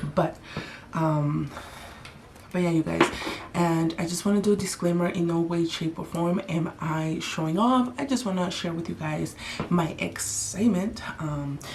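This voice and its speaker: Against noticeable background noise, a soft-spoken woman with a fairly low pitch talks at a fairly slow pace. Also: ordinary pitch variation. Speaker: beauty vlogger. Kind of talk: casual chat.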